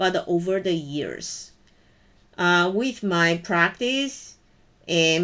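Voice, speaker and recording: Very slow speech in a Chinese accent, with ordinary pitch variation and a quiet background. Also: woman. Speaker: college programming instructor. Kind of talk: personal message to students.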